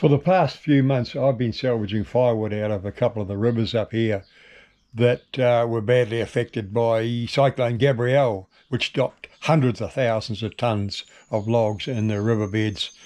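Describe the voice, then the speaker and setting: A man's dark, mellow voice at a medium pitch, fairly even intonation, quiet background. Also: moderate pace. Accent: New Zealand. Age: 60s. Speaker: filmmaker and firewood salvager. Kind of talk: documentary narration.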